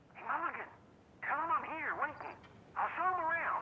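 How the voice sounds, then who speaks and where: Put-on character voice at an extremely high pitch, with clear background noise. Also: moderate pace. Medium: video game.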